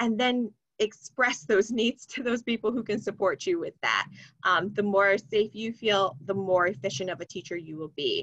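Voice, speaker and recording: A normal speaking voice with lively intonation at a moderate pace. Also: woman, medium pitch for a woman. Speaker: sex education trainer. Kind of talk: webinar presentation.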